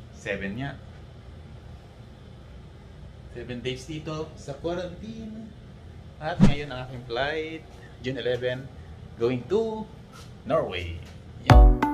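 A man at a very slow pace, with long, frequent pauses and loud background noise. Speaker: travel vlogger. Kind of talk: casual vlog chat. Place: home room. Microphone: phone near.

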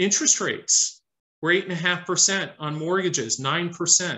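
The speaker has an American accent and moves at a moderate pace. Pitch varies in an ordinary way. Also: man. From Detroit, US Midwest. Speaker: investment fund manager; guest. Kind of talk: interview Q&A and presentation; interview answer. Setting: video call. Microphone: video call.

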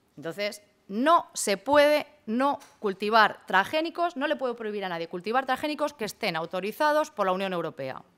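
Very wide swings in pitch from a woman, her pace moderate. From Spain, Castilla-La Mancha. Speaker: law professor. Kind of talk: conference talk. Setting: conference hall with audience. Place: hall. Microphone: podium.

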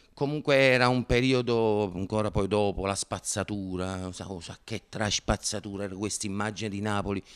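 Against a quiet background, a man with a fairly low pitch talks at a moderate pace with ordinary pitch variation. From Naples, Italy. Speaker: actor and comedian. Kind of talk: interview answer. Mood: relaxed, reflective. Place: studio. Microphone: handheld.

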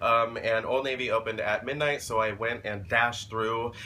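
A man talks at a moderate pace with ordinary pitch variation and a bright, sharp tone. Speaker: vlogger. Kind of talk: casual vlog chat. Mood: cheerful, playful. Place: home room. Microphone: phone near.

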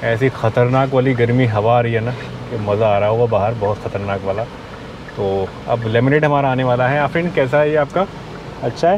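A moderate pace, a dry sound with no echo, and noticeable background noise. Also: man, ordinary pitch variation. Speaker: travel vlogger. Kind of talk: casual vlog chat. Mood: cheerful, enthusiastic. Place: car. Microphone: lapel.

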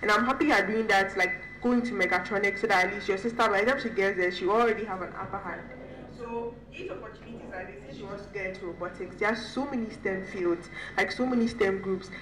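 Amid noticeable background noise, a woman talks at a very fast pace with a medium pitch, ordinary pitch variation and big swings in loudness. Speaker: software engineer and panelist. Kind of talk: panel discussion. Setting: stage with audience.

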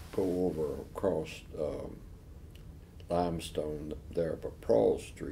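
A man speaks with a very deep, low pitch and audible vocal fry. His tone is dark and mellow. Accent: American. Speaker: retired lawyer, law school alumnus (class of 1958). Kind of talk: oral history interview answer.

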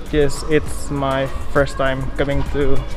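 A man is heard talking with clear music in the background. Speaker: travel vlogger. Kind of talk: casual vlog chat. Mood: cheerful, laughing. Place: station. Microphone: phone near.

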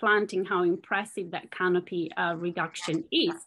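The woman's voice has a fairly bright tone.

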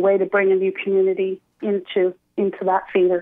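The background is quiet as a woman talks. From Chile, raised in Montreal from age 8. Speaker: theatre director. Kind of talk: radio interview. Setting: phone call. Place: studio.

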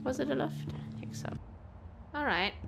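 A woman whispers at a fairly slow pace with vocal fry, while music plays clearly in the background.

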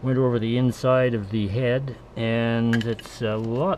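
A man speaks with light background noise behind him. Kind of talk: casual tutorial narration. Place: home room. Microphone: camera far.

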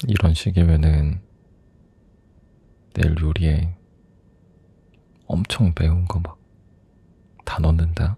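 A soft-spoken man with a very deep, low pitch talks very slowly, with fairly even intonation and long, frequent pauses. The sound is dry with no echo. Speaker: boyfriend character in roleplay. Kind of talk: ASMR boyfriend roleplay. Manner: soft-spoken, affectionate. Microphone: studio mic.

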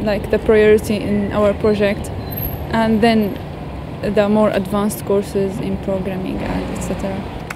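Speaking very slowly with an Arabic accent, a woman keeps a monotone, flat intonation. The sound is dry with no echo, and there is noticeable background noise. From Syria. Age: 20s. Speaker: computer science student. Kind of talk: interview. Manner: halting, many fillers. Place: street.

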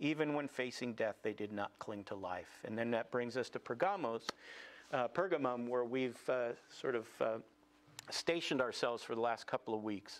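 A man speaks at a moderate pace. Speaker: congregation teacher. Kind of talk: sermon. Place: church.

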